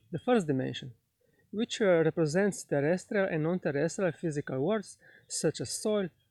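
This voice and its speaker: A man speaks in a high pitch with a dark, mellow tone, ordinary pitch variation and a moderate pace. The recording is very clean, with a silent background and a dry, close sound with no echo. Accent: Slovenian. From Slovenia. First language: Slovenian. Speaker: spiritual teacher. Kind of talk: lecture. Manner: halting, many fillers.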